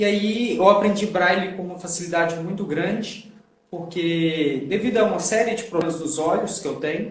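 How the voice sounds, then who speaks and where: A man with a mineiro accent speaks at a high pitch. Noticeable background noise and audible room echo are present. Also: ordinary pitch variation, moderate pace. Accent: non-carioca, mineiro. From Minas Gerais, Belo Horizonte region, Brazil. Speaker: sign language interpreter. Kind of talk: casual interview. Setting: online live stream.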